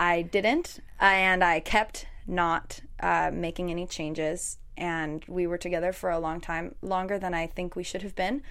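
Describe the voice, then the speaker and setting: A woman with an American accent speaks at a fairly low pitch. She talks at a fairly slow pace with fairly even intonation. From Chicago. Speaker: singer-songwriter. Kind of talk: interview.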